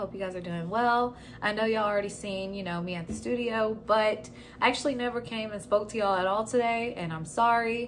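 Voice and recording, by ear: The voice moves at a fairly quick pace with ordinary pitch variation over faint background noise. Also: woman, medium pitch for a woman.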